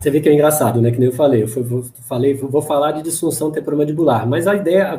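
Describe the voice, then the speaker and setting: Very fast speech comes from a man with a fairly high pitch. The voice is somewhat breathy and has ordinary pitch variation. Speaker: dentist and lecturer. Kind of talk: Q&A after a lecture.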